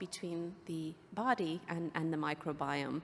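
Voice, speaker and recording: A woman speaks with an Irish accent. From Ireland. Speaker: biotech executive and physician. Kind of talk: conference presentation.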